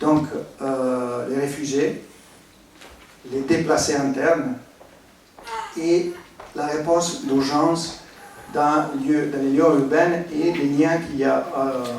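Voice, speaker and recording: A man with an Italian accent speaks very slowly in a fairly high voice, with fairly even intonation, long, frequent pauses, audible room echo and noticeable background noise. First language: Italian (speaking French). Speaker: architect, humanitarian expert. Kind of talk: conference presentation. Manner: halting, many hesitations.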